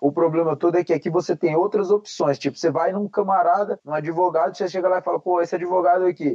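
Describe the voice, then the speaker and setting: Noticeable background noise runs under this recording. A man talks at a very fast pace and a high pitch, with hardly any pauses. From Paraná, Brazil. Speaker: MMA fighter. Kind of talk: casual chat. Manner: animated.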